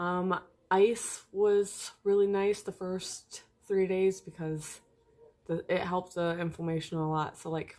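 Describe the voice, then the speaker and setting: A woman talks fairly slowly at a medium pitch. Her tone is dark and mellow, and her intonation stays flat and monotone. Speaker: vlogger. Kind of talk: casual vlog. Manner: hesitant, many ums.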